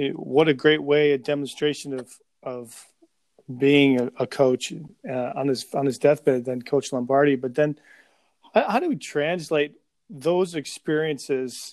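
A man with a normal speaking voice and an American accent talks at a fairly slow pace, fairly high in pitch with ordinary pitch variation. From Chicago area. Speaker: podcast host. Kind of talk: interview.

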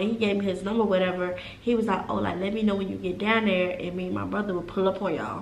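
Talking very fast, a woman is heard through audible room echo and noticeable background noise. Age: 20s. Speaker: podcast co-host, college student. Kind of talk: casual chat, storytime.

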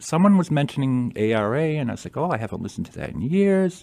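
This is an unremarkable speaking voice with an American accent. Its intonation is lively. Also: man. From Massachusetts, Attleboro. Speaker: author. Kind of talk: radio interview.

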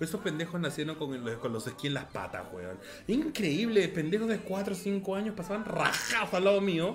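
Noticeable background noise sits behind the voice. A man with a high pitch talks with lively intonation. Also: fairly quick pace. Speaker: podcast co-host. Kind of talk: casual chat. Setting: live stream.

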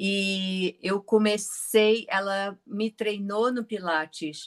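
The recording is dry and close, with no echo. A woman talks in a bright, sharp tone. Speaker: Pilates teacher. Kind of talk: interview.

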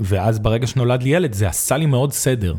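An unremarkable speaking voice from a man, medium in pitch, at a moderate pace with lively intonation. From Israel, Arad. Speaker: nonprofit director, former school principal. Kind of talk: intimate interview conversation.

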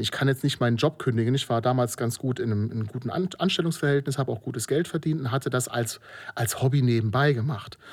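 On a very clean recording with a silent background, a man at medium pitch talks very fast with hardly any pauses and ordinary pitch variation. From Germany, Moselle region (Rhineland-Palatinate). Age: 40s. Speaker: filmmaker. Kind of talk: interview. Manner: hesitant, many filler sounds.

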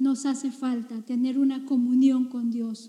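A woman's voice, dark and mellow in tone. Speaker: pastor. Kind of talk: sermon. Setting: church. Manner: earnest, impassioned preaching; sermon cadence with scripture citations and exhortation.

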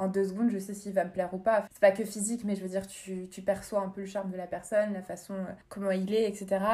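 A woman of medium pitch speaking at a very fast pace, monotone and flat in intonation, with big swings in loudness. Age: 20s. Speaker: podcast guest sharing dating-app experience. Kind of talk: casual chat.

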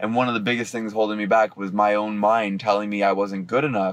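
Speaking at a fairly quick pace, the man has a fairly low pitch.

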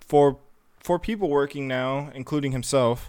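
The man's voice sits at a fairly high pitch. His pitch variation is ordinary. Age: 20s. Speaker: podcast co-host. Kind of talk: casual chat. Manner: halting.

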